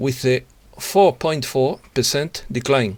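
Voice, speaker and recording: Speaking at a fairly slow pace, a man uses a fairly high pitch and has a Spanish accent. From Spain. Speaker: journalist. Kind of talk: news reading. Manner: halting, with self-repetitions.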